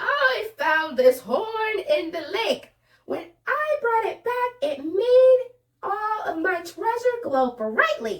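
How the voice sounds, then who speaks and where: A woman uses a squeaky, put-on character voice at an extremely high pitch. She speaks very slowly with very wide pitch swings. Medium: read story.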